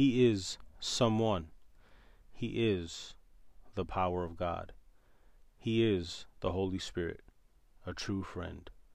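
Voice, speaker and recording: With an American accent, a man speaks very slowly in a very deep, low voice with fairly even intonation and audible room echo. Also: long, frequent pauses. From New York City. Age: 30s. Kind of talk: podcast monologue with Bible teaching.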